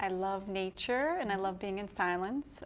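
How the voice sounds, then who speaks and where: On a very clean recording with a silent background, a woman with a New England accent speaks at a medium pitch with fairly even intonation. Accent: New England American. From Worcester, Massachusetts. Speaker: teacher and entrepreneur. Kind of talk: interview.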